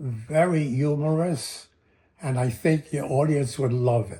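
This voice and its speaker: Speaking very slowly, a man has a dark, mellow, somewhat breathy tone. His pitch sits in the middle range and varies in an ordinary way. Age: 90s. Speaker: comedian and magician. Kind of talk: audition pitch. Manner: halting, many fillers.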